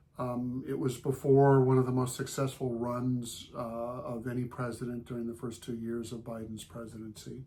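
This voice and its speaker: A man with an American accent speaks at a medium pitch in a monotone, flat intonation. His loudness swings widely. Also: moderate pace. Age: 60s. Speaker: gardening blogger's husband. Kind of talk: reflective remarks.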